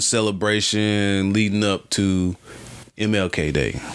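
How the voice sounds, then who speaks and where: With an American accent, the speaker talks at a very slow pace. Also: man. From US South, small-town North Carolina. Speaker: podcast host. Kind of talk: casual chat.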